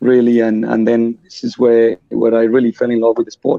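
With a Colombian accent, a man speaks at a medium pitch in a dark, mellow tone. His delivery is fairly quick and monotone, with a dry, close sound and no echo. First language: Spanish. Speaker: futsal club vice president and player. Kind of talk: podcast interview.

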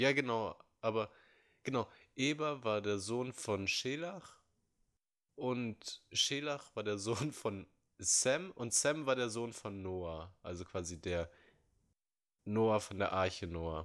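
On a very clean recording with a silent background, a man with a medium pitch speaks at a very slow pace with lively intonation. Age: 20s. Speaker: podcast co-host. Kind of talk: casual chat.

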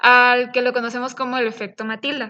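At a moderate pace, a woman speaks high in her range with a bright, sharp tone. The recording is very clean with a silent background. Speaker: biotechnology student podcast co-host. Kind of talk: casual chat.

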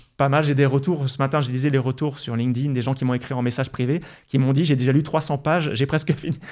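An unremarkable speaking voice moves at a fairly quick pace with fairly even intonation. The recording is very clean, with a silent background. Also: man. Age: 40s. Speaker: investment blogger and author. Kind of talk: interview.

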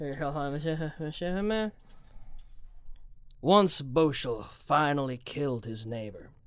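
In a gruff, put-on character voice, a man with a fairly high pitch talks at a very slow pace with lively intonation and long, frequent pauses, on a very clean recording with a silent background. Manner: slow, glacial pace.

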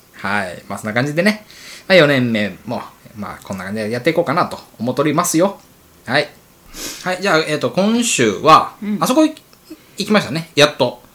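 A man's fairly high voice at a fairly quick pace, with very wide pitch swings, big swings in loudness, and long, frequent pauses. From Wakayama, Japan (Tanabe). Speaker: podcast co-host, food club leader. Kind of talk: casual chat.

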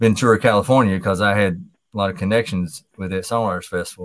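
A man with an American accent, a fairly low pitch and a fairly quick pace, on a very clean recording with a silent background. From Kentucky. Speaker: songwriter and guitarist. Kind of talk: casual chat.

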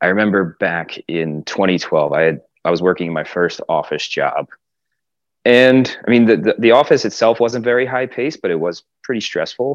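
Vocal fry and lively intonation from a man at medium pitch and moderate pace. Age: 30s. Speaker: exercise physiologist. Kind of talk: casual interview chat.

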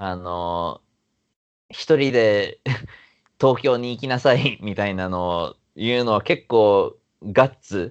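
A man's pitch shows ordinary variation. He speaks at a very slow pace. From Yokohama/Yokosuka, Japan. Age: 30s. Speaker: actor and MC. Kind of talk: casual interview chat.

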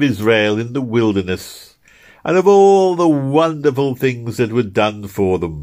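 A man's put-on character voice, drawling at a fairly slow pace, on a very clean recording with a silent background. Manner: slow drawling with a large sweet smile; voice broken by bursts of flatulence.

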